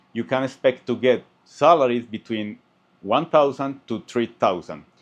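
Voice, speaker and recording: Over a quiet background, a man speaks at a moderate pace with a non-native accent. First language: Spanish. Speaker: software engineer and YouTuber. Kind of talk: tutorial.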